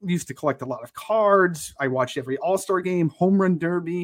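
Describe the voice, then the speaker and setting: On a very clean recording with a silent background, a man with an American accent speaks at a fairly quick pace in a high pitch with ordinary pitch variation. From Connecticut. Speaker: podcast co-host. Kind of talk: casual chat.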